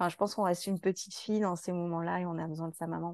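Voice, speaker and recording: Her pitch sits in the medium range for a woman. Behind her, the background stays quiet. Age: 30s. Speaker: patient sharing her experience. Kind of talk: testimony. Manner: halting, many fillers.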